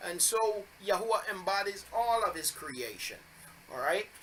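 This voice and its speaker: Over noticeable background noise, a man speaks in a raised, projected voice, high in pitch and at a moderate pace. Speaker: bible teacher. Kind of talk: religious teaching video. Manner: halting with fillers.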